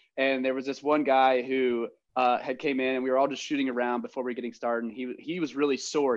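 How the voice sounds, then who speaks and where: Against a quiet background, a man with an American accent talks at a medium pitch. His pace is very fast. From rural Ohio. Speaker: podcast host. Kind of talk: casual chat.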